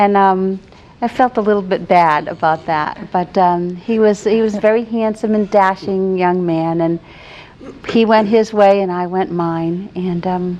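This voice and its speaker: Someone speaks in an American accent with fairly even intonation. Noticeable background noise is present. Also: woman, medium pitch for a woman, fairly slow pace. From New England, New Bedford, Massachusetts. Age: 60s. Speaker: retired teacher, guest. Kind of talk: interview, personal life story.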